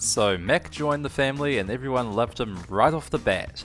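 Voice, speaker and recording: Music plays in the background as a man speaks at a medium pitch. His intonation is lively, and his pace is fairly quick. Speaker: animator. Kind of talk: animated storytime narration. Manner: casual, heartfelt.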